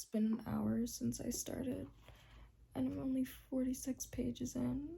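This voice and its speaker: A quiet woman's voice at a very slow pace. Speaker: booktuber. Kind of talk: casual vlog talk to camera. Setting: at home in bed. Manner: quieter, lowered voice late at night.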